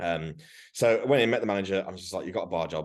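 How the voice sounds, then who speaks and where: A man's very deep, low voice in an animated tone, rushing at a very fast pace with ordinary pitch variation. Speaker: fitness coach. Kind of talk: casual chat. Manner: loud.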